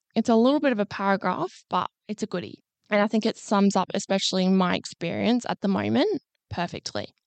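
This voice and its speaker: With an Australian accent, a woman speaks at medium pitch with ordinary pitch variation. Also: fairly quick pace. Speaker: podcast co-host, psychology graduate. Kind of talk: casual chat.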